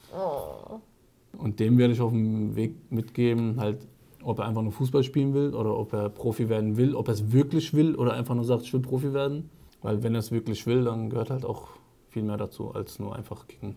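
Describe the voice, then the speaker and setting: A man with a Frankfurt accent speaks at a medium pitch with a dark, mellow tone. His pitch varies in an ordinary way, and his pace is fairly quick. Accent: sounds local, like he grew up in Frankfurt. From Germany, Frankfurt. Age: 30s. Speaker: ex-professional footballer, real estate. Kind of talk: casual interview.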